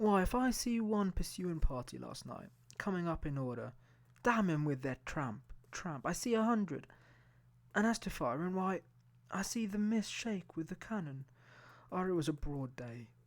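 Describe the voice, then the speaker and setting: At a moderate pace, a gruff, put-on character voice at a middle pitch delivers the lines. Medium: read story. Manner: gruff, rough-spoken.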